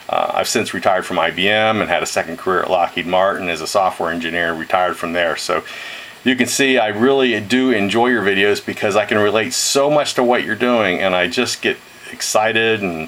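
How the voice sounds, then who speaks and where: Noticeable background noise runs under this recording. A man with a fairly low pitch speaks at a fairly quick pace with ordinary pitch variation. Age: 60s. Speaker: retired engineer and ham radio hobbyist. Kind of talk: video message. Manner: halting, many fillers.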